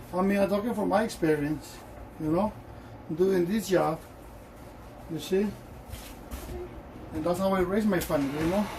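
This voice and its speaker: A man with a strong Honduran accent and a high pitch, moderate pace with long, frequent pauses, fairly even intonation, audible room echo and noticeable background noise. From Honduras. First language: Spanish. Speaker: shoe shiner. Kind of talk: tutorial with casual personal talk.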